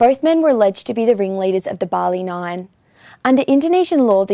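The voice has a dark, mellow tone and a fairly quick pace. The sound is dry with no echo, and the background is quiet. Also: woman. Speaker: news presenter. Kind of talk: news report reading. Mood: serious, neutral. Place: studio. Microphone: lapel.

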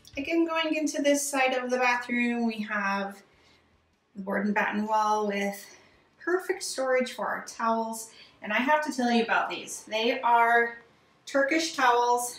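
In a room with audible echo, a woman speaks at a high pitch and a moderate pace with ordinary pitch variation. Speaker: home renovation creator. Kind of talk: home tour narration. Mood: enthusiastic, proud. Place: bathroom.

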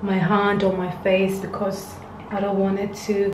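Fairly slow delivery in a flat monotone, with noticeable background noise. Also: woman. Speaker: beauty vlogger. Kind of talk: casual skincare tutorial chat. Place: home room. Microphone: phone near.

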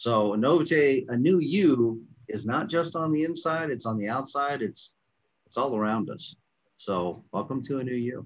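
The speaker talks at a fairly slow pace with lively intonation against a quiet background. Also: man. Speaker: product formulator. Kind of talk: casual promotional panel chat. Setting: video call. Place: office. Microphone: webcam.

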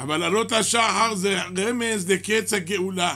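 A man's raised, projected voice, very slow and fairly even in intonation, over a quiet background. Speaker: rabbi teaching a class. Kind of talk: sermon. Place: church. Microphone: podium.

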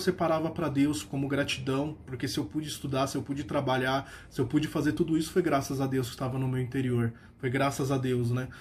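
This man talks at a fairly quick pace in a fairly high, warm, somewhat breathy voice. Light background noise sits behind him. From Brazil, São Paulo. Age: 30s. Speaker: religious lay lecturer and university employee. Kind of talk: personal religious testimony, a grateful first-person faith story. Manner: earnest and warm, with frequent hesitation fillers (é, eh); steady, reflective storytelling pace. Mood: grateful, earnest. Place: home room. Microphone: phone near.

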